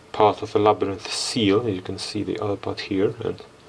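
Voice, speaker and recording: Over light background noise, a man talks at a fairly low pitch. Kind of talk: tutorial. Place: workshop.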